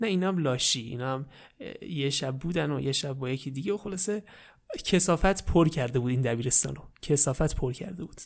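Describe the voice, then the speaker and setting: In a very clean recording with a silent background, a man talks at a very fast pace. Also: fairly high pitch for a man, ordinary pitch variation. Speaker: storyteller. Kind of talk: parody bedtime story narration. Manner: velvety soft tone.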